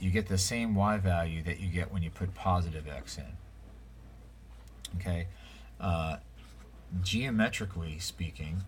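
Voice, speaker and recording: With audible room echo, a man with a very deep, low voice and vocal fry speaks in ordinary pitch variation, leaving long, frequent pauses. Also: moderate pace. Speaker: math teacher. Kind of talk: lecture. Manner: casual, many fillers.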